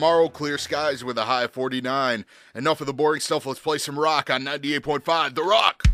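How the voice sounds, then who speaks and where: Music plays behind a speaker with an American accent. The delivery is fairly quick, with an upbeat, energetic tone. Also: man, fairly high pitch for a man. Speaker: radio DJ. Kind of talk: rock radio DJ demo.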